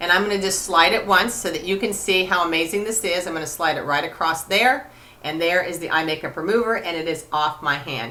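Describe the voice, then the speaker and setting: The delivery is at a fairly quick pace with hardly any pauses. Pitch variation is ordinary. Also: woman, fairly low pitch for a woman. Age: 50s. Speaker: cosmetics sales director. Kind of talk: product demonstration. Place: home room. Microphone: webcam.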